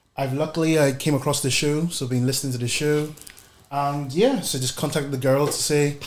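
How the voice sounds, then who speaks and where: In a room with audible echo and noticeable background noise, a man with a fairly high voice speaks fairly quickly in a flat monotone. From Northern Ireland, Belfast. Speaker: podcast guest asking questions. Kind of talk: casual interview chat.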